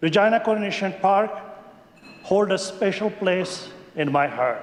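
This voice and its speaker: A man with a Pakistani accent, high in pitch, with ordinary pitch variation and a fairly slow pace, plus audible room echo and noticeable background noise. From Pakistan, Khyber Pakhtunkhwa. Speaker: legislator. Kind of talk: maiden speech in legislature. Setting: legislative chamber. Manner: formal.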